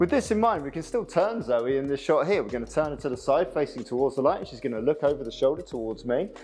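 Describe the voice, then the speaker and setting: Speaking very fast with hardly any pauses, a man with a British accent uses lively intonation at a fairly high pitch, with noticeable background noise behind him. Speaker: photographer. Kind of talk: tutorial.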